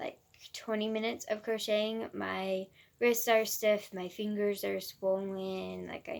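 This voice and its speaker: A woman is speaking. Her pace is very slow. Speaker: crochet vlogger. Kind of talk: casual vlog chat. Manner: halting, stumbling over words.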